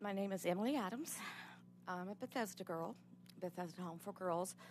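Over light background noise, a woman with a fairly low pitch shows vocal fry and ordinary pitch variation. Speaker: abuse survivor testifying at legislative hearing; witness. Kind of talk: testimony. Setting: legislative committee hearing room. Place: hall. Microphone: podium.

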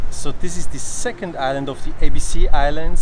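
Moderate-paced male speech over clearly audible background noise. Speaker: travel vlogger. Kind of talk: casual vlog chat. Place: street. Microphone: phone near.

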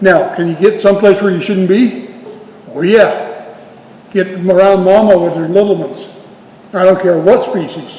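Over noticeable background noise, a high-pitched man speaks at a moderate pace with fairly even intonation and long, frequent pauses. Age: 80s+. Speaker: Bigfoot researcher and speaker. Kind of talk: town hall Q&A.

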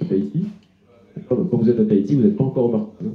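Heard with audible room echo, a man speaks with very wide pitch swings. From northern France, Dunkirk; France. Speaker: travel writer; guest. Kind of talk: literary talk before an audience. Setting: restaurant with live audience. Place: home room.

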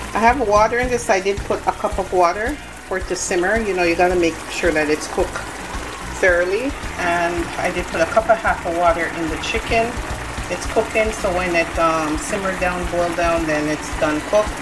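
Speech moves at a fairly quick pace over noticeable background noise. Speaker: home cook vlogger. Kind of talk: casual cooking tutorial. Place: kitchen. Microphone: phone near.

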